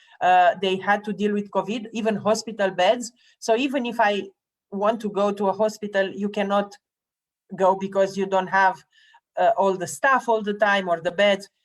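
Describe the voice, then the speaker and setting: A woman speaks with a Romanian accent. Her intonation stays fairly even. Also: medium pitch for a woman, moderate pace. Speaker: public health official and interviewer. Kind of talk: live online interview. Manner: halting, many fillers.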